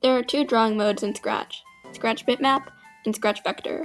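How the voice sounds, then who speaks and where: Over music in the background, a woman with a high pitch talks at a moderate pace with ordinary pitch variation. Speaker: Scratch animation tutorial creator. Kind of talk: tutorial voice-over.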